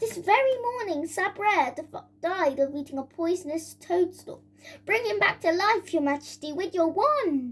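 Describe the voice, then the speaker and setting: A woman's put-on character voice at an extremely high pitch, delivered at a moderate pace. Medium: read story.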